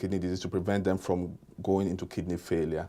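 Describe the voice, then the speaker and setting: In a strong non-native accent, a man speaks with a very deep, low pitch and a dark, mellow tone, monotone and flat, on a very clean recording with a silent background. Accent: thick non-native. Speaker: kidney and hypertension doctor. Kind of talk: interview.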